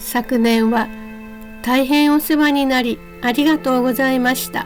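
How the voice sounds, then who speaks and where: A woman speaks in a calm tone at a high pitch with fairly even intonation. Music plays in the background. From Japan. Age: 60s. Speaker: solo-living senior vlogger. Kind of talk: vlog narration. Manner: calm, polite.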